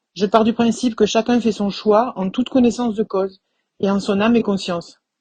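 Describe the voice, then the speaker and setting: A fairly high-pitched, somewhat breathy female voice with a dark, mellow tone, fairly even intonation and a fairly quick pace, over a quiet background. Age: 50s. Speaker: suspended physiotherapist. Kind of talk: testimony.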